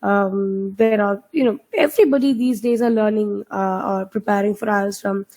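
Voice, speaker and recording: Speaking with a Keralan accent at a moderate pace, the voice shows ordinary pitch variation. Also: woman. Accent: Indian English (Malayali). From India, Kerala (Kochin). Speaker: IELTS trainer. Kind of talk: online webinar teaching. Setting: video call webinar. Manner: hesitant, many fillers.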